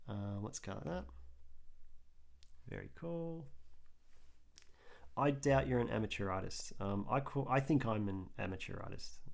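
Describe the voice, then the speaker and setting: A man with an Australian accent, medium in pitch with very wide pitch swings, at a moderate pace with long, frequent pauses, and audible room echo. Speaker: artist livestreamer. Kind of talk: casual live stream chat while drawing.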